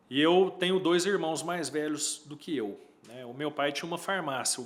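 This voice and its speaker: A man with a Minas Gerais accent, at a moderate pace and with fairly even intonation. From Uberlândia, Minas Gerais, Brazil. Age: 40s. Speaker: electrical engineer. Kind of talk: casual interview. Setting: studio.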